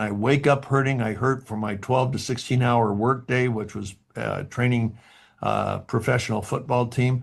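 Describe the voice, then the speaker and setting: A man's somewhat breathy voice with ordinary pitch variation, against a quiet background. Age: 70s. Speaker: motivational speaker at company event. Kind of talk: motivational speech. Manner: animated.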